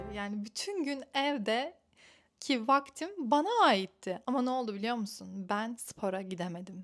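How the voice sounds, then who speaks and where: Woman with a plain, everyday voice, fairly high in pitch, lively intonation and a fairly slow pace, in a very clean recording with a silent background. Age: 20s. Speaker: lifestyle vlogger. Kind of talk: casual vlog talk to camera.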